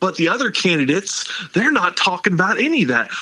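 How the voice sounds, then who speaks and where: A man talks at a high pitch in a raised, projected voice, with very wide pitch swings. He goes at a fairly quick pace over noticeable background noise. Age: 50s. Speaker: political candidate. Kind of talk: interview. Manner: animated.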